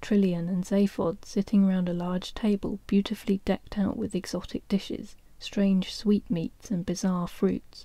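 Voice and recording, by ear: Text read aloud in a natural voice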